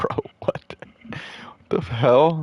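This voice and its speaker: A man in a dry, close sound with no echo. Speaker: video game streamer. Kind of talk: casual livestream commentary. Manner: vocal fry.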